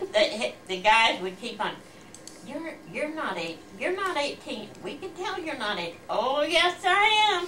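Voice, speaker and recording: A woman's raised, projected voice, high in pitch with very wide pitch swings, at a very slow pace over noticeable background noise. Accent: American. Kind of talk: interview answer.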